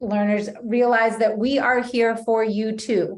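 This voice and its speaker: At a fairly slow pace, a woman talks with a fairly high pitch. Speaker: graduate school staff and online instructor. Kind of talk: orientation presentation over video call. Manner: hesitant, many fillers.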